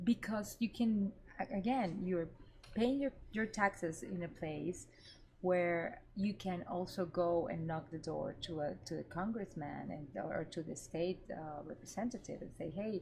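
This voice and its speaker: The speaker has a Venezuelan accent and a somewhat breathy voice. The pace is fairly slow, with ordinary pitch variation. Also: woman, fairly low pitch for a woman. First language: Spanish. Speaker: cannabis media reporter. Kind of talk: interview conversation.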